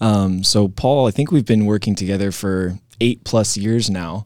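An unremarkable speaking voice from a man, fairly low in pitch, with fairly even intonation and a moderate pace, in a very clean recording with a silent background. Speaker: property management director. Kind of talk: interview.

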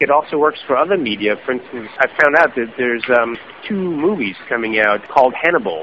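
Very wide rises and falls in pitch from a man, with clearly audible background noise. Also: medium pitch for a man. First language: German. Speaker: journalist and author. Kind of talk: podcast interview. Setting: remote call.

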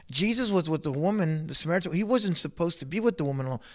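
A man with an unremarkable speaking voice talks at a fairly quick pace in a fairly high pitch with lively intonation, on a very clean recording with a silent background. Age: 40s. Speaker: pastor. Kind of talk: casual interview.

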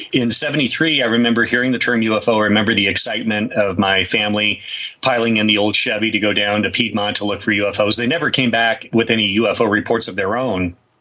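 A man at a medium pitch, talking at a very fast pace. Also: fairly even intonation. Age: 50s. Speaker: UFO researcher and author. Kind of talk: interview. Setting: remote call.

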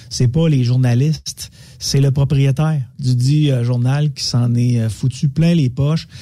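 With a dark, mellow tone, a man speaks somewhat breathily at medium pitch with ordinary pitch variation. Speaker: media commentator. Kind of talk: casual radio chat.

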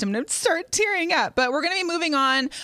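A woman's raised, projected voice at a very fast pace, with very wide pitch swings and noticeable background noise. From US Pacific Northwest (Seattle). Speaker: sports talk show host. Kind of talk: casual chat.

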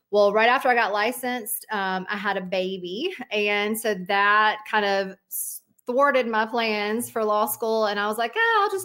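A woman with a Southern US accent, fairly high in pitch, bright and sharp in tone, at a moderate pace. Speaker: mortgage broker, company owner. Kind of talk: interview.

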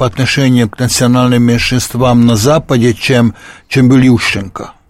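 Speaking at a fairly slow pace, a man with a medium-pitched voice talks with a Hungarian accent. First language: Hungarian (speaking Russian). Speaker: sociologist and economist. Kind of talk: radio interview. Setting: studio. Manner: halting.

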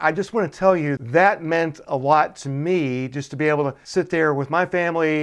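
A man with an American accent and a normal speaking voice talks at a moderate pace with hardly any pauses. His pitch is fairly high with ordinary pitch variation, over a quiet background. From Chattanooga, Tennessee (US South). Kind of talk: interview.

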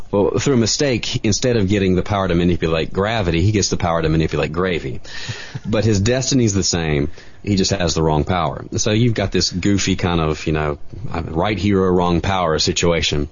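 Speaking at a fairly quick pace with an American accent, a man with a very deep, low pitch keeps very even loudness and ordinary pitch variation over noticeable background noise. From US South, Greensboro, North Carolina. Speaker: comic book artist. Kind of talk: casual interview chat.

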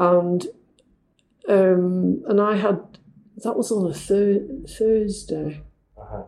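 A woman talks with a Manchester accent at a very slow pace. She leaves long, frequent pauses. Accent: northern English (Manchester area). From northern England, near Manchester. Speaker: language school director, former teacher. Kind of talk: casual interview. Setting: in Mexico City, interview.

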